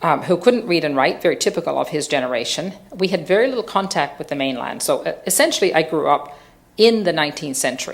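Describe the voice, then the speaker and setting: Amid audible room echo, a woman with a Newfoundland accent races along at a very fast pace in a fairly low pitch, her intonation lively. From Newfoundland, Fogo Island. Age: 60s. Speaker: social entrepreneur. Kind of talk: public lecture. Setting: theatre stage with audience.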